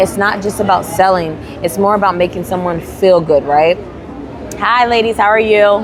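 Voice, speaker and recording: Moderate pace and ordinary pitch variation amid crowd noise in the background and audible room echo. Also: woman. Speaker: handmade business owner and vlogger. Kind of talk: casual vlog talk. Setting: at a craft fair booth. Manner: animated, many repetitions and restarts.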